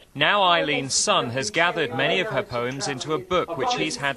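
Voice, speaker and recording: This man talks at a moderate pace. Noticeable background noise sits behind him. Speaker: TV reporter. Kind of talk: TV news report narration.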